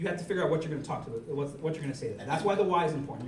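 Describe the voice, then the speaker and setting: Noticeable background noise and audible room echo. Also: man. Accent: American. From New York, the Bronx. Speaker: party chair and Marine veteran giving a workshop. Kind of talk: workshop lecture. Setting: in-person workshop with audience. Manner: fast.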